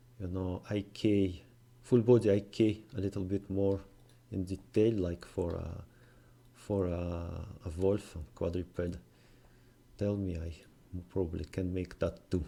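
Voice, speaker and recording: A man with a non-native accent speaks at a very deep, low pitch in a dark, mellow tone. His pace is fairly slow and his intonation fairly even, with long, frequent pauses. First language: not English. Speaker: game development tutorial maker. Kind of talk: tutorial. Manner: halting, many fillers.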